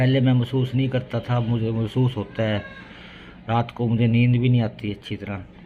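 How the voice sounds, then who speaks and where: Over noticeable background noise, a man at a medium pitch speaks at a moderate pace in a monotone, flat intonation. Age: 60s. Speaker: family vlogger. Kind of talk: casual vlog talk.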